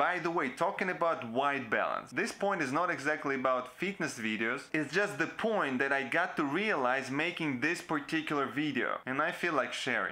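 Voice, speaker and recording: Talking at a moderate pace with hardly any pauses, a man uses ordinary pitch variation. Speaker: video creator. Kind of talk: tutorial. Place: home room.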